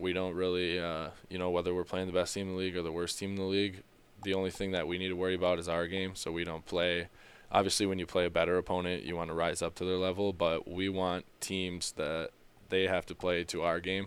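With an Upper Midwest accent, a man speaks very fast in a very deep, low pitch and monotone, flat intonation. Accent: Upper Midwest American. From Minnesota. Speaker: ice hockey player. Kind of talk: interview. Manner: halting, many fillers.

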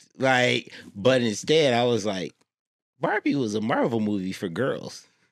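A man's fairly slow speech with lively intonation and a dry, close sound with no echo. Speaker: guest. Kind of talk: casual chat.

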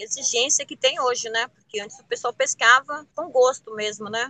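The sound is dry and close with no echo as a woman speaks in a high pitch. Her tone is bright and sharp, with ordinary pitch variation. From Ilhabela, São Paulo coast, Brazil. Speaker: traditional fisherwoman. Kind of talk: interview testimony.

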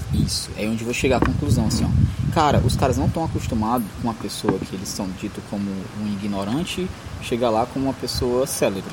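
Over noticeable background noise and audible room echo, a man at medium pitch talks at a fairly quick pace with ordinary pitch variation. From Northeast Brazil. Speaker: podcast host, fiction author. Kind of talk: casual chat.

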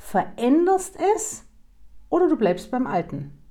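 Her somewhat breathy voice has a dark, mellow tone and very wide pitch swings. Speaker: podcast host, human design coach. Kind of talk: personal monologue.

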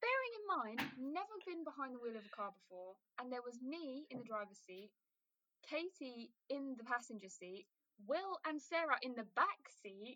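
Raising and projecting her voice, a woman with a British accent speaks at a moderate pace in a high, bright, sharp tone, her pitch swinging very widely and her loudness in big swings. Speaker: podcast host, student. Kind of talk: casual chat.

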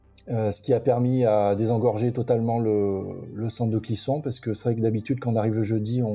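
The voice moves at a fairly quick pace in a monotone, flat intonation. Music plays in the background. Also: man. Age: 40s. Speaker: metal festival-goer, podcast listener. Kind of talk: casual interview chat. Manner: halting, many fillers and repetitions.

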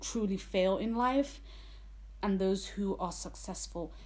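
Here a woman speaks with a London accent. Her pace is fairly slow. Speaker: podcast host, nursing student. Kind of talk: solo podcast monologue. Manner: casual, chatty.

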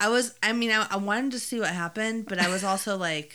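A woman's ordinary speaking voice at a moderate pace, with ordinary pitch variation. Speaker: podcast co-host. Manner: casual, chatty.

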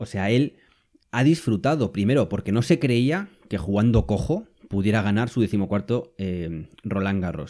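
Lively intonation and a dark, mellow tone come from a man with a fairly low pitch. The recording is very clean, with a silent background. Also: fairly slow pace. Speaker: podcast host. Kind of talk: solo podcast monologue. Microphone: new microphone.

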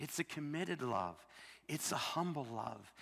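Here is a normal speaking voice from a man with an American accent. His pitch is fairly high and his pace moderate. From US Midwest, Illinois. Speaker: missionary preacher. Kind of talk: sermon. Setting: church.

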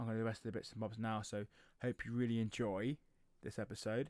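A man with an English accent and a fairly low pitch speaks in a monotone, flat intonation on a very clean recording with a silent background. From England. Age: 30s. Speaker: podcast host, powerlifting coach. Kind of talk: solo podcast monologue. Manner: casual, with many fillers.

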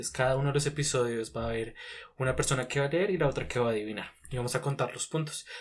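Somewhat breathy and medium in pitch, a man speaks very fast with ordinary pitch variation. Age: 20s. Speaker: podcast co-host. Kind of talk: casual chat.

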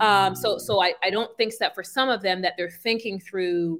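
In a very clean recording with a silent background, a woman with a New York accent speaks at a medium pitch, her tone bright and sharp and her intonation fairly even. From Brooklyn, New York (Brownsville). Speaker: career transition coach. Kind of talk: interview.

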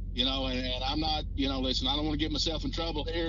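Over noticeable background noise, a man with an American accent speaks at a very fast pace. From Missouri, rural. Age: 40s. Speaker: podcast co-host. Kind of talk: casual chat. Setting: remote call.

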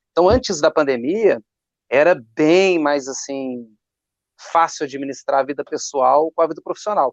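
With a Minas Gerais accent, a man speaks at a moderate pace in a fairly high pitch with ordinary pitch variation, the sound dry and close with no echo. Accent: mineiro. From Minas Gerais, Brazil. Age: 30s. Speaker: drummer and drum teacher. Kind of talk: casual chat.

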